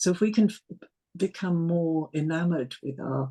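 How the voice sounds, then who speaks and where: A woman's very deep, low voice with ordinary pitch variation, a dark, mellow tone, some breathiness and a moderate pace. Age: 60s. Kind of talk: casual conversation.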